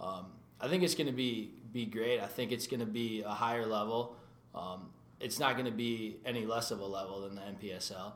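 A man with a Minnesota accent speaks at a medium pitch and moderate pace, with ordinary pitch variation. Noticeable background noise can be heard. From Minnesota (New Hope). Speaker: soccer goalkeeper. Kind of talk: interview. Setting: studio.

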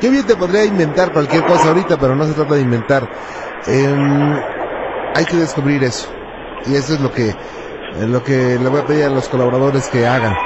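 A man with a fairly high pitch talks at a fairly quick pace, with ordinary pitch variation and very even loudness. Long, frequent pauses break up his speech over noticeable background noise. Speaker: radio host. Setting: radio studio with phone callers. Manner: warm, polite, curious, fluent, mildly jokey, narrates cases in an intrigued tone.

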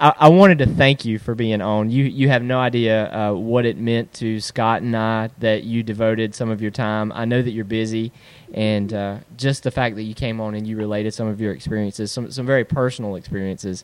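A man's normal speaking voice, medium in pitch, fairly quick and with hardly any pauses, fairly even intonation, in a very clean recording, silent background. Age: 40s. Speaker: podcast host. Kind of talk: interview.

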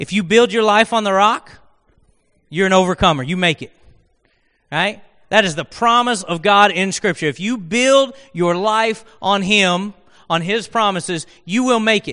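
A man's raised, projected voice, high-pitched, with a bright, sharp tone, a moderate pace and ordinary pitch variation. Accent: American. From Oklahoma. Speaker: guest preacher. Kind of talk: sermon. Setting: church with congregation. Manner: conversational.

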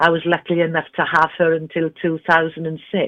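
A woman's very deep, low voice with a slight Welsh accent, very slow in pace, over music in the background. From Wales, Carmarthen. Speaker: interview guest, singer. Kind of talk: polished interview voice. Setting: phone.

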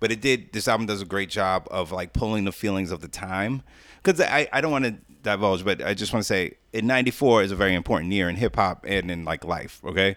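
The recording is very clean, with a silent background. A man with a New York accent talks very fast at a fairly low pitch, with ordinary pitch variation. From Jamaica, Queens, New York City. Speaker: podcast guest, wrestling commentator. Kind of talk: casual chat.

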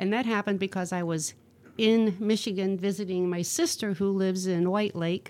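In an ordinary speaking voice with an American accent, a woman speaks at a moderate pace and medium pitch with fairly even intonation, on a very clean recording with a silent background. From northwest Ohio. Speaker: singer-songwriter. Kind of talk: casual chat.

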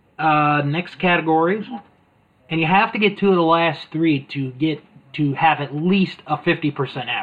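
A man's moderately paced speech with ordinary pitch variation. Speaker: podcast host. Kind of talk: casual chat.

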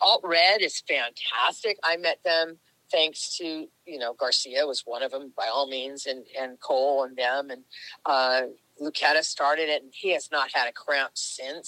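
The sound is dry and close, with no echo. A woman talks at a moderate pace, her very deep, low pitch carrying a bright, sharp tone. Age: old. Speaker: nonprofit youth fitness founder. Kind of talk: casual interview. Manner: loud; animated.

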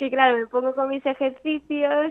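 The speaker is a woman with a high pitch. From Italy, raised partly in Andalusia. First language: Italian (speaking Spanish). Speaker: amateur golfer. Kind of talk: interview.

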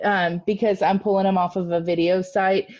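A woman's medium-pitched voice, dark and mellow in tone, against a quiet background. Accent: American. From US Midwest. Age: 30s. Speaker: podcast co-host. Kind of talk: casual chat, storytelling. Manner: animated, excitable.

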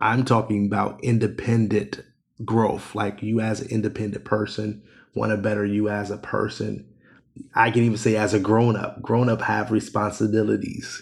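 A fairly low, monotone, flat male voice with vocal fry and an American accent, at a moderate pace. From Ohio. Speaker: life coach and author. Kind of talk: casual interview chat.

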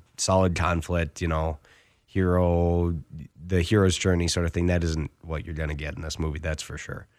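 On a very clean recording with a silent background, a man with an American accent speaks at a very deep, low pitch. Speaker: radio host. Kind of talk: casual film review chat on radio. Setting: radio studio booth.

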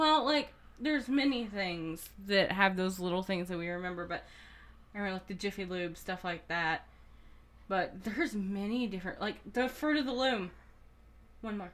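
A woman's medium-pitched voice with lively intonation, a moderate pace, and long, frequent pauses. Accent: slight Southern US. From US South. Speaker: podcast co-host. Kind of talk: casual chat. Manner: low-energy, joking.

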